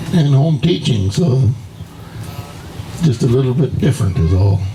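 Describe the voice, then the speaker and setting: Over noticeable background noise, a man with an American accent speaks at a fairly slow pace and a fairly high pitch. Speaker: elderly relative reminiscing. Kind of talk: casual chat.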